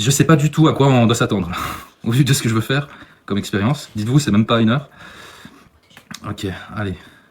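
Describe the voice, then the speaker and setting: Very fast speech broken by long, frequent pauses, with ordinary pitch variation. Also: man, medium pitch for a man. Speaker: paranormal investigator. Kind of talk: live paranormal investigation vlog.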